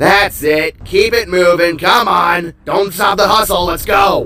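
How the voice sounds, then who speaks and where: Shouting in a put-on character voice, a man goes at a fairly slow pace in a high pitch while faint music plays in the background. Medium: read story. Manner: commanding, contemptuous.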